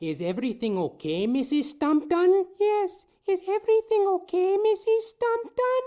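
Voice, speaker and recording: This is a put-on character voice, squeaky and extremely high in pitch. It moves at a moderate pace with hardly any pauses. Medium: audio drama. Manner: meek and deferential.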